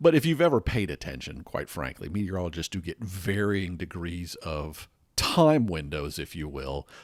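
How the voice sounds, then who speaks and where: In an American accent, a man with a very deep, low pitch and vocal fry speaks at a moderate pace, with ordinary pitch variation and big swings in loudness. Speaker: podcast host. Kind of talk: podcast monologue about weather. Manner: conversational, unscripted.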